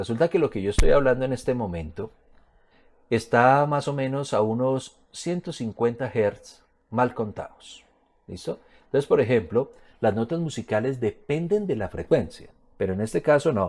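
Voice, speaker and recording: On a very clean recording with a silent background, a man speaks at a moderate pace. He has a plain, everyday voice with lively intonation. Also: medium pitch for a man. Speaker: physics teacher. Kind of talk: lecture. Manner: casual, colloquial.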